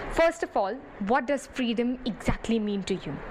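A woman with an Indian accent speaks at high pitch with lively intonation. Background noise is noticeable. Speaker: radio host. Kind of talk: radio show introduction.

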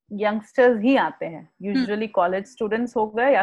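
Pitched fairly high for a woman, her voice varies in an ordinary way. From Marwari family, raised across India. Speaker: author, blogger and mindfulness practitioner. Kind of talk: podcast interview. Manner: casual Hindi-English code-switching.

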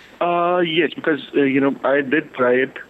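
A man is speaking against noticeable background noise. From India, Delhi. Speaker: caller. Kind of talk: phone-in confession. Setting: phone call. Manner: halting, many fillers.

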